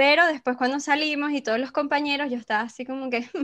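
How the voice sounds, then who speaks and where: Speaking fairly quickly, a woman talks in a Venezuelan accent. The recording is very clean, with a silent background. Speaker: podcast host. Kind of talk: casual chat.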